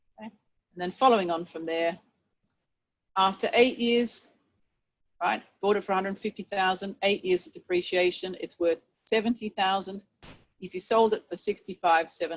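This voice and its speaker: A woman speaks at medium pitch with ordinary pitch variation. She takes long, frequent pauses, and her loudness swings widely. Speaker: university tutor. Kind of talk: tutorial. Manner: fast.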